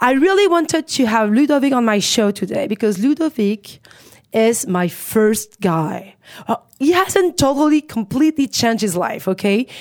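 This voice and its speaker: Speaking with a French accent, a woman uses a fairly high pitch with very wide pitch swings at a moderate pace. Her loudness is very even, and the sound is dry and close with no echo. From Paris, France. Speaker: radio host and comedian. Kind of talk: scripted intro; casual interview. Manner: laughs often.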